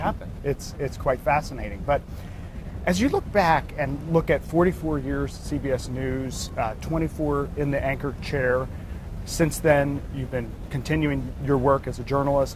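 A man is speaking at a moderate pace. Background noise is noticeable. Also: dry sound with no echo. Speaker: interviewer, leadership author. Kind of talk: interview questions on stage. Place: home room. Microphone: lapel.

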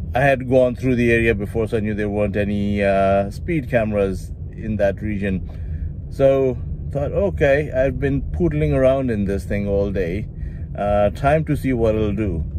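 A man talks at a fairly slow pace with a fairly low pitch, in a dry sound with no echo and noticeable background noise. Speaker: car reviewer. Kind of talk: casual vlog chat. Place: car. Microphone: phone near.

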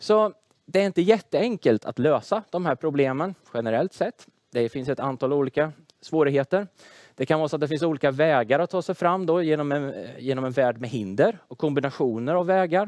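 A man with a normal speaking voice talks at a fairly high pitch and a fairly quick pace. His intonation is lively, and the background is quiet. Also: dry sound with no echo. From Sweden, Tranås (Småland); Sweden. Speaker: engineering professor. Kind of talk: lecture; casual interview. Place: studio. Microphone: headset.

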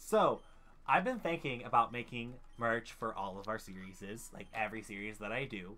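A man's medium-pitched voice at a moderate pace, with ordinary pitch variation and big swings in loudness. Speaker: gaming YouTuber. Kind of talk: casual gaming commentary. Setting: online voice call. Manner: animated. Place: home room. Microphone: headset.

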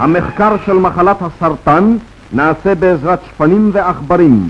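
With music playing in the background, a man speaks fairly slowly with ordinary pitch variation. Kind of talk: newsreel narration. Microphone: old recording.

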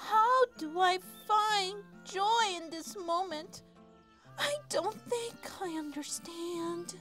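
At a very slow pace, a put-on character voice squeaks out an extremely high pitch while clear music plays in the background.

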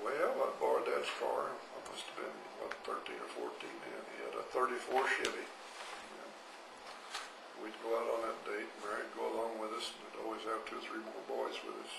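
A man's fairly quick speech comes through noticeable background noise. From Arizona. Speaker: grandfather interviewee. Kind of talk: interview answer. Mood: warm, amused reminiscing. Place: home room. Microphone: handheld.

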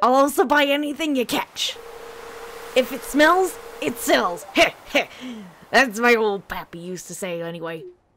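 A put-on character voice at a fairly high pitch swings very widely in pitch, keeping a moderate pace with long, frequent pauses. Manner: crazy, put-on, folksy.

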